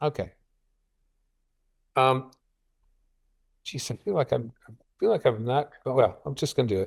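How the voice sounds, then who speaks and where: Somewhat breathy speech with lively intonation and long, frequent pauses, on a very clean recording with a silent background. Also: man, medium pitch for a man. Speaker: biostatistics professor giving a seminar talk. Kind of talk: lecture. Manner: fast; halting, with frequent repetitions.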